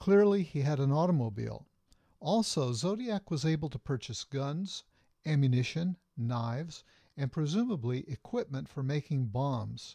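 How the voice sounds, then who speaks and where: A man speaks at a moderate pace with lively intonation and a fairly high pitch, somewhat breathy and dark, mellow in tone. The background is quiet, and the sound is dry and close with no echo. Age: 60s. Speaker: psychologist and author. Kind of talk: reading aloud from own book. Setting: webcam video at home.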